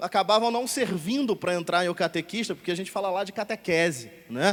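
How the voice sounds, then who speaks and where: This man talks at a fairly quick pace in a Rio de Janeiro accent. His voice is high-pitched, with ordinary pitch variation. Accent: carioca. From Rio de Janeiro, Brazil. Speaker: catechist and editor, radio host. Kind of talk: talk show interview on stage.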